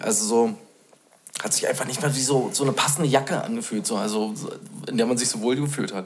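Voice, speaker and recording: Over noticeable background noise, a man speaks at a very fast pace while his pitch swings very widely. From Bad Belzig, Brandenburg. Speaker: guest, returning resident. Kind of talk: casual chat.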